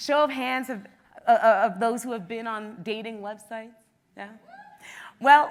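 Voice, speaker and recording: An animated delivery at a moderate pace, with ordinary pitch variation, big swings in loudness, and long, frequent pauses. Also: woman, fairly high pitch for a woman. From Canada, Toronto. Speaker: travel blogger and former teacher. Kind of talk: conference talk. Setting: stage with audience. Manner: loud, outgoing.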